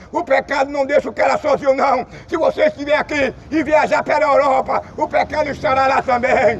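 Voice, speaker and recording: Over noticeable background noise, a man talks in an extremely high pitch with monotone, flat intonation and hardly any pauses. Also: fairly quick pace. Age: 60s. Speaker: street preacher. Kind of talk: sermon.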